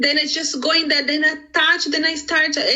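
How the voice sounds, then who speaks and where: The speaker has a Brazilian accent. Noticeable background noise runs behind the voice. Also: woman. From Brazil, Sao Paulo. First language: Portuguese. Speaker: business owner. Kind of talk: interview. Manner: animated.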